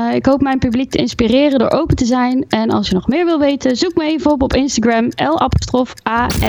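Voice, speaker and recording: A woman's high voice cuts through noticeable noise in the background. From Gelderland, Netherlands (Groesbeek). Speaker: singer-songwriter. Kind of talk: interview.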